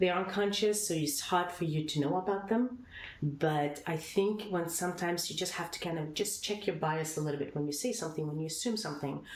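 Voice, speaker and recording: Lively intonation with audible room echo. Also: woman. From Sweden. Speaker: company founder. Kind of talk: podcast interview. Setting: in person recording.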